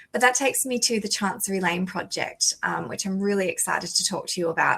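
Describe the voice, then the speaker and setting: In an Australian accent, a woman talks at a very fast pace with a medium pitch. Her tone is bright and sharp, with ordinary pitch variation. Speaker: lawyer, conference panelist. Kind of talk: conference panel talk.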